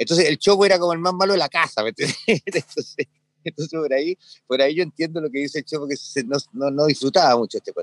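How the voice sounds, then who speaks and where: A man talks at a very fast pace with hardly any pauses, his pitch fairly high with ordinary variation, in a dry, close sound with no echo. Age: 70s. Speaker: ski instructor. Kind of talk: casual interview.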